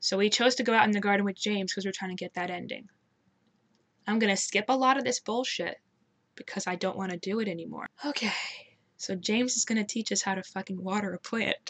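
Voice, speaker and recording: A woman at a very fast pace, medium in pitch, with a dry, close sound and no echo. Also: ordinary pitch variation. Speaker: gaming youtuber. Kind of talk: let's play commentary.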